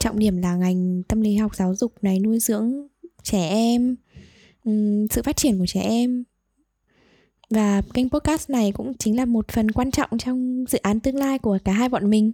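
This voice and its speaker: At a fairly slow pace with long, frequent pauses, the voice is somewhat breathy with a dark, mellow tone, very even loudness and ordinary pitch variation, recorded very cleanly with a dry, close sound, no echo and a silent background. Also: woman, fairly high pitch for a woman. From Vietnam, Hanoi. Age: 20s. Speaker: podcast co-host, psychology student. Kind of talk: casual chat.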